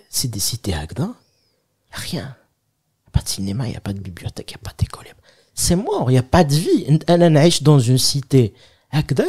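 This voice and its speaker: Somewhat breathy and dark, mellow in tone, the voice moves in very wide pitch swings with long, frequent pauses. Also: man, medium pitch for a man, moderate pace, big swings in loudness. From Algeria, Kabylie. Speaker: comedian. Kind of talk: casual chat.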